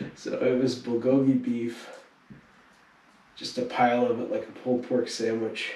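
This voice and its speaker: Male speech at moderate speed, broken by long, frequent pauses, amid noticeable background noise. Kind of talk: casual travel vlog talk to camera.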